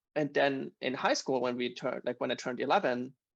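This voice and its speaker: In a quiet background, a man with a German accent speaks at a fairly quick pace, the sound dry and close with no echo. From Germany, Bavaria. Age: 30s. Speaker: podcast guest. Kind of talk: casual chat.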